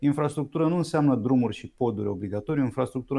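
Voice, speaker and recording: A man talks at a very fast pace with ordinary pitch variation. His tone is dark and mellow, and his pitch is medium. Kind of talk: interview.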